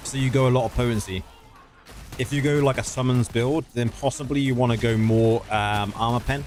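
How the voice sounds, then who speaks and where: Noticeable noise runs in the background. A man talks over it with fairly even intonation. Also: medium pitch for a man, fairly quick pace. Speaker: gaming streamer. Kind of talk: live stream chat and game tutorial. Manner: fast.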